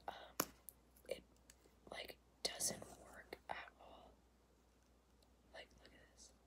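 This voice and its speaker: A woman whispers at a very slow pace. Her loudness swings widely. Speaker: ASMR creator. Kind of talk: ASMR makeup tapping video. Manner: whispered; casual, chatty. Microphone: phone near.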